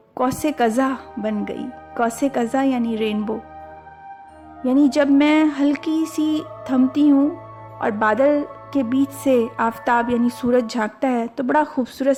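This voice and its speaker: Music plays behind a woman whose high-pitched voice has ordinary pitch variation. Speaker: poet. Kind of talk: poetry reading.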